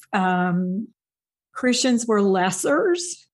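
Against a quiet background, a woman with an American accent speaks in a somewhat breathy voice with lively intonation. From US Midwest, Indiana. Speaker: former professor and podcast host. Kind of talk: testimony.

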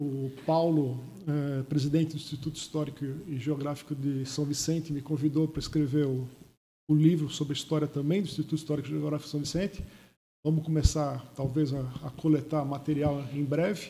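Fairly high in pitch, a man speaks at a fairly quick pace in a dark, mellow, somewhat breathy voice with monotone, flat intonation. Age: old. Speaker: engineer and local historian. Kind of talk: panel interview. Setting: studio.

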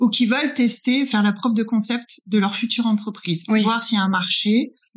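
A woman's fairly high, somewhat breathy voice moves at a fairly quick pace, its pitch varying in an ordinary way. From France. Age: 40s. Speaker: business consultant. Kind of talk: interview.

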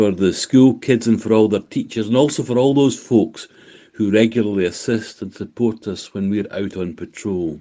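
A man speaks at a moderate pace in a dark, mellow tone. His pitch varies an ordinary amount. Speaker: volunteer. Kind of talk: recorded self-introduction.

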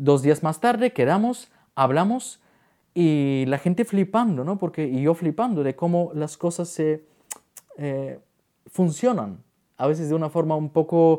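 Speaking at a fairly slow pace with long, frequent pauses, this voice has a dark, mellow tone and lively intonation. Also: man, fairly high pitch for a man. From Bulgaria. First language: Bulgarian (speaking Spanish). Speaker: wedding photographer and YouTuber. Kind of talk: interview conversation.

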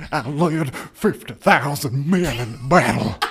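Using a put-on character voice, a man speaks at a very slow pace and a fairly high pitch. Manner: weary, on the verge of tears.

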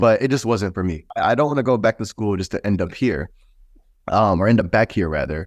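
A normal speaking voice from a fairly low-pitched man with an American accent, fairly quick in pace and lively in intonation, with a dry, close sound with no echo and a quiet background. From Texas. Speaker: streetwear brand founder. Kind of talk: interview.

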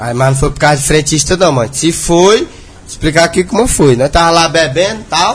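Noticeable background noise runs through the clip. A man speaks at a fairly high pitch. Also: ordinary pitch variation, fairly quick pace. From Brazil, interior of Maranhão. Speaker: internet personality. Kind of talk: casual interview chat.

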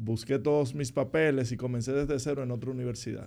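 A man speaks at a moderate pace with a medium pitch. His tone is dark and mellow, and his intonation fairly even. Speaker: political commentator. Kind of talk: casual interview.

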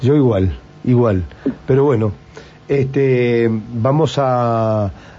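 A man speaks at medium pitch. His tone is dark and mellow.

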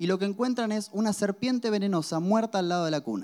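A man speaks very fast in a high voice with ordinary pitch variation. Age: 20s. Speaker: pastor. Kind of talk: sermon.

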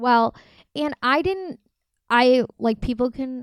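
Over a silent background in a very clean recording, a woman with an American accent speaks fairly slowly in a plain, everyday voice with ordinary pitch variation. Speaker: podcast co-host. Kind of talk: casual chat.

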